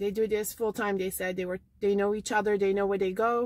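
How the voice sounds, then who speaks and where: A woman speaks with a dry sound that carries no echo. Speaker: thrift shopping vlogger. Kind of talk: casual vlog chat. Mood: chatty, lightly amused. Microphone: phone near.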